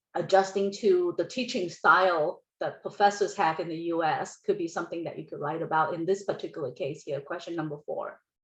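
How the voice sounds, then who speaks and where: With a non-native accent and a fairly low pitch, a woman talks at a fairly quick pace with hardly any pauses, ordinary pitch variation and big swings in loudness. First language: not English. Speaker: college counselor. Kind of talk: workshop presentation. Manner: halting.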